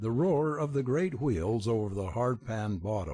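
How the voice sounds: A voice reading naturally.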